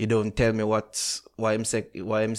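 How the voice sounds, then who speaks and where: On a very clean recording with a silent background, a man with a Jamaican accent speaks at a moderate pace in a fairly low pitch. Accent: Jamaican, patois-inflected. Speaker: podcast host. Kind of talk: casual chat.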